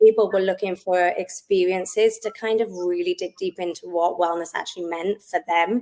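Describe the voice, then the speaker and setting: With a Welsh accent, the speaker keeps a moderate pace, fairly even intonation and hardly any pauses. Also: woman, medium pitch for a woman. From South Wales. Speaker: wellness business owner. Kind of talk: podcast interview.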